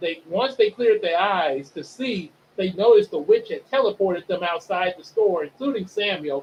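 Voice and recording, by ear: The speaker reads aloud. The voice sounds natural.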